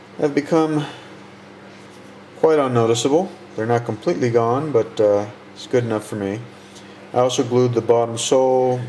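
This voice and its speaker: Against noticeable background noise, the speech has big swings in loudness, long, frequent pauses and ordinary pitch variation. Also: man, medium pitch for a man, moderate pace. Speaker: model kit builder. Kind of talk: tutorial. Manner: halting. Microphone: muffled by face mask.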